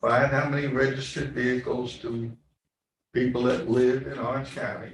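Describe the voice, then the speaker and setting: This man has an American accent and speaks at a moderate pace with a medium pitch, a somewhat breathy quality, and monotone, flat intonation. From New York City, the Bronx. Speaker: county legislator. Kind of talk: committee meeting debate. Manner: conversational, emphatic.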